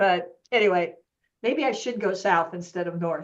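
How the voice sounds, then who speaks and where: At a fairly slow pace, this is an ordinary speaking voice. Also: woman. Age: 60s. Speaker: yoga business coach. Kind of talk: casual chat.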